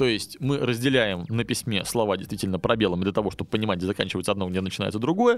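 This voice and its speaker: A man talks at a very fast pace with hardly any pauses. His pitch is fairly low, with ordinary variation. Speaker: podcast host, English teacher. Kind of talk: educational monologue; storytelling (fairy tale). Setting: studio.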